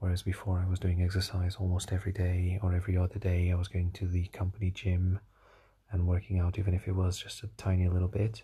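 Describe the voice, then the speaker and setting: Against a quiet background, a somewhat breathy voice with a dark, mellow tone moves at a fairly quick pace. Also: man. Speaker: solo diary podcaster. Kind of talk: personal audio diary monologue. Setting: recording alone at night. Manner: halting, many fillers and repetitions.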